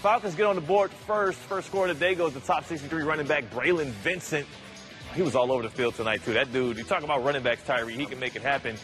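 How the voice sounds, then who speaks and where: Over music in the background, a man talks at a very fast pace with a fairly high pitch, an energetic tone, and lively intonation. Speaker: sports anchor / reporter. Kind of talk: TV sports news reporting, upbeat broadcast delivery. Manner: energetic, jokey.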